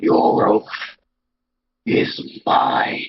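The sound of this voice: In a put-on character voice, a man growls at an extremely high pitch.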